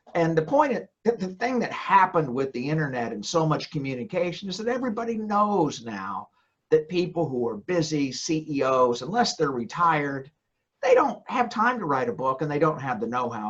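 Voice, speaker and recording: Here is a man with a Southern US accent and a fairly high pitch. He talks at a moderate pace with very wide pitch swings. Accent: Southern American. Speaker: ghostwriter and former trial lawyer. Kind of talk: podcast interview. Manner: halting, with repetitions.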